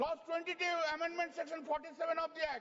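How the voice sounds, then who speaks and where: Over noticeable background noise, a man speaks very fast at an extremely high pitch. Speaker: member of parliament and senior lawyer. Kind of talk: parliamentary speech. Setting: parliament chamber. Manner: animated.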